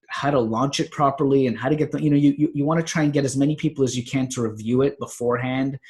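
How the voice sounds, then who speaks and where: Speech rushes by at a very fast pace with hardly any pauses. The intonation stays monotone and flat. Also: man. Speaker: natural health author and podcaster. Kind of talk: casual vlog monologue. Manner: long run-on sentences; halting with fillers.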